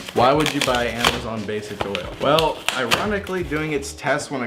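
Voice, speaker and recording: Moderately paced speech from a man, amid noticeable background noise and audible room echo. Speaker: car vlogger. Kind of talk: casual vlog.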